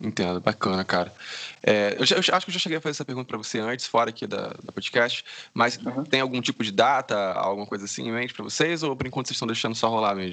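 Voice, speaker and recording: A man's medium-pitched voice at a very fast pace. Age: 20s. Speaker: podcast host. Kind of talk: casual interview chat; solo podcast intro. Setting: Skype call.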